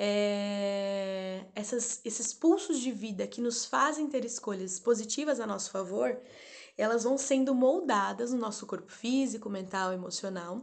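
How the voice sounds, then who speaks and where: At a fairly slow pace, a woman talks in an ordinary speaking voice with a fairly high pitch. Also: ordinary pitch variation, quiet background. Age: 30s. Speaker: doula and therapist. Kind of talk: spiritual talk and guided meditation. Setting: live stream. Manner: slow, calm.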